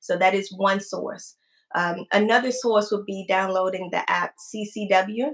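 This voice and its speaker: Her pitch at medium height, a woman talks at a fairly slow pace in an unremarkable speaking voice with fairly even intonation. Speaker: firearm instructor. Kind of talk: livestream talk answering viewer questions.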